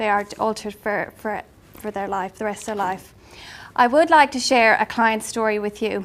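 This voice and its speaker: A moderate pace in an Irish accent, with ordinary pitch variation. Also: woman, fairly high pitch for a woman. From Ireland. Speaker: life coach. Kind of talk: business presentation. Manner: hesitant, many fillers.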